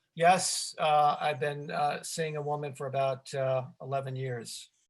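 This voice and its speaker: A man talks fairly slowly in a fairly high, somewhat breathy voice. His intonation is monotone and flat, over a quiet background. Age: 60s. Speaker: filmmaker answering audience questions. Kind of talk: live Q&A. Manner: halting.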